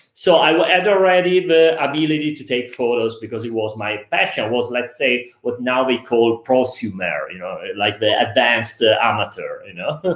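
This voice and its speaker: A man with a medium pitch speaks at a moderate pace, with hardly any pauses. His loudness swings widely over noticeable background noise. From Italy. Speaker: photographer. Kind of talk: interview. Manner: halting.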